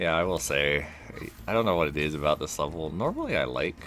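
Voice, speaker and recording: Noticeable background noise behind a man whose pitch swings very widely. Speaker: gaming video creator. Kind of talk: let's play commentary. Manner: casual, meandering.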